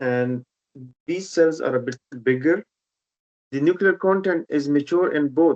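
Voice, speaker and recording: Speaking in a Pashto accent, a man talks at a fairly slow pace with long, frequent pauses, his fairly high pitch varying in an ordinary way, and the sound is dry and close with no echo. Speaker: haematology teacher. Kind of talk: online teaching session.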